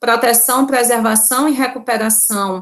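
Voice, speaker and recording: The pace here is rather slow. It is an ordinary speaking voice. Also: woman. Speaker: law professor. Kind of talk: lecture.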